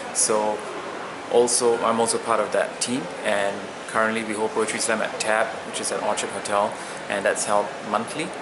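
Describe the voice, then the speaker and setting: Speech comes at a moderate pace in a monotone, flat intonation, with long, frequent pauses. Noticeable background noise and audible room echo fill the recording. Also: man, medium pitch for a man. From Singapore. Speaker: poet. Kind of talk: interview. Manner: hesitant, with many fillers.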